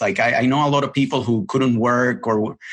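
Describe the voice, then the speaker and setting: A man with a Spanish accent against a quiet background. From Puerto Rico. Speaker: television editor. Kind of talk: podcast interview. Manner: halting, many repetitions.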